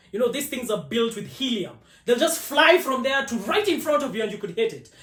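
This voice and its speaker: A loud man with an extremely high voice, lively intonation and a fairly quick pace, amid noticeable background noise and audible room echo. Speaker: automotive content creator. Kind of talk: podcast interview. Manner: loud, talkative.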